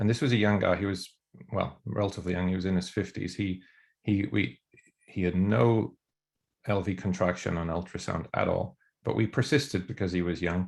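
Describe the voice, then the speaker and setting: Very deep, low male voice in an Irish accent, fairly quick pace, ordinary pitch variation. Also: very clean recording, silent background. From Ireland. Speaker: emergency physician and researcher. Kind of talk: academic discussion. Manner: hesitant, many fillers and repeats.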